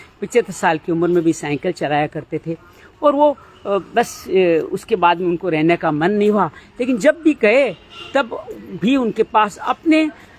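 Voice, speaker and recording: High male voice with noticeable background noise behind it. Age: 50s. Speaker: spiritual life talk host. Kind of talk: reflective monologue. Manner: hesitant with filler sounds.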